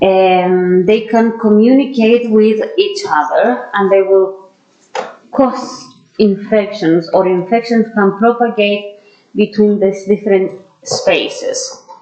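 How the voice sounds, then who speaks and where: Very slow speech from a woman with a fairly high voice and a strong non-native accent, very even in loudness, ordinary pitch variation, audible room echo. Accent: strong foreign. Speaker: dentist and anatomy lecturer. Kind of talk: lecture. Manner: hesitant, with frequent fillers.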